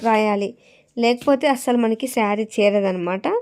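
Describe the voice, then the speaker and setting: Over a very clean recording with a silent background, a woman speaks in a dark, mellow tone with ordinary pitch variation. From Andhra Pradesh, Rayalaseema (Kadapa district). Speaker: vlogger and saree seller. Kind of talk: casual vlog talk to camera.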